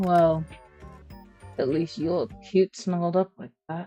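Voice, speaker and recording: A woman mumbles in a put-on character voice, fairly low in pitch, at a fairly slow pace. Her intonation stays fairly even as music plays in the background. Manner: mumbling.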